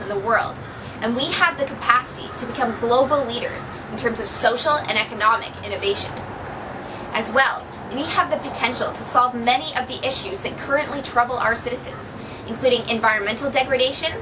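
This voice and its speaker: Over noticeable background noise and audible room echo, a woman speaks at a fairly quick pace in a high pitch. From Ontario, Canada. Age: 20s. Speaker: university student. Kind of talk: prepared speech. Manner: formal.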